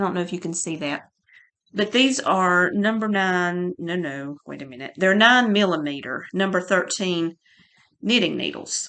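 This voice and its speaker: A woman's medium-pitched, bright, sharp voice at a moderate pace, with lively intonation, big swings in loudness and a quiet background. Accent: North Carolina. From North Carolina, Surry County. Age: 50s. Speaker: podcaster. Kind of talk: casual chat. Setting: home. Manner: halting.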